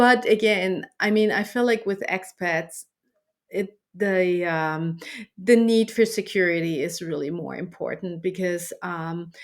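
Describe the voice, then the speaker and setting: A woman with a German accent talks at a fairly slow pace, keeping a medium pitch and fairly even intonation. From Germany. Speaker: dating app founder. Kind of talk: interview. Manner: halting, many fillers and repeats.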